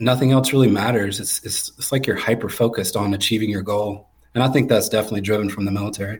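A somewhat breathy man talks at a very fast pace with hardly any pauses. His pitch is fairly low and his intonation fairly even. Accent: American. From North Carolina, near Raleigh. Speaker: flooring business owner, army veteran. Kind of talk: casual interview.

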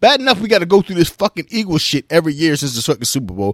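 Fairly high in pitch, a man's voice moves through very wide pitch swings. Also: dry, close sound with no echo. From Philadelphia. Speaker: sports podcast host. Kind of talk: heated casual rant.

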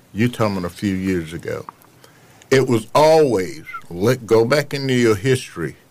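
Noticeable background noise runs under a man's voice as he speaks at a moderate pace. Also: medium pitch for a man, lively intonation. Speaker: Vietnam war veteran. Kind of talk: casual chat.

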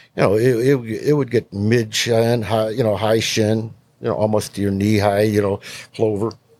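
A man speaks at a moderate pace in an ordinary speaking voice, with an American accent and fairly even intonation. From western New York. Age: 60s. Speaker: hunting lure company owner. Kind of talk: casual chat.

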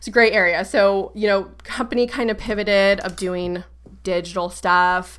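A woman with a normal speaking voice and an American accent, medium pitch, fairly slow pace, on a very clean recording with a silent background. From Florida. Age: 30s. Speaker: wellness business owner. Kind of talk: interview.

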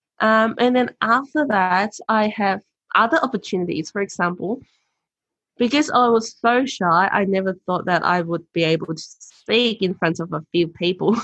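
Speaking at a moderate pace, a woman with a Cantonese accent uses a medium pitch and ordinary pitch variation. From Hong Kong. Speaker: author and sales professional. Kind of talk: interview.

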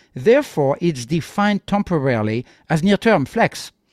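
Speaking with a French accent, a man swings his pitch very widely in a dry, close recording with no echo. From France. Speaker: tech entrepreneur. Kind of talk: interview. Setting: remote call.

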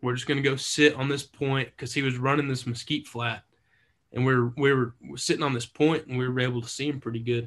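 A man with a West Texas accent speaks at a medium pitch and a very fast pace in a monotone, flat intonation. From Texas, Lubbock. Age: 20s. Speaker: hunter. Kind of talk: casual chat.

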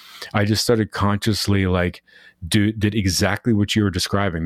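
On a very clean recording with a silent background, a man with a fairly low pitch talks at a fairly quick pace and fairly even intonation, the sound dry and close with no echo. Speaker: podcast host. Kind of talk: casual interview.

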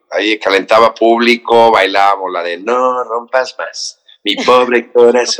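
Delivered in a normal speaking voice, the words come at a fairly slow pace with fairly even intonation. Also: man, medium pitch for a man. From Mexico, raised in Cancún. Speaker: actor and TV morning show host. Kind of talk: casual interview chat.

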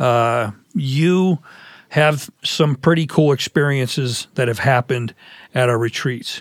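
A man with an ordinary speaking voice and a medium pitch talks at a fairly slow pace with ordinary pitch variation, in a dry, close sound with no echo. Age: 50s. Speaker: men's pastor and podcast host. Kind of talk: interview.

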